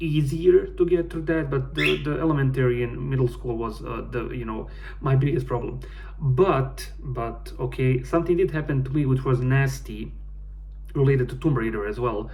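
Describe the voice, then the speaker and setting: Audible room echo, noticeable background noise, and a man at a moderate pace. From Bosnia. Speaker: gaming YouTuber. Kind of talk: casual personal vlog. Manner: halting.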